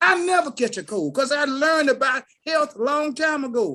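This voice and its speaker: A raised, projected voice, bright and sharp, animated in tone with lively intonation at a moderate pace. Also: man. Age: 60s. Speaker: Walmart produce worker, call participant. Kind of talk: motivational testimony.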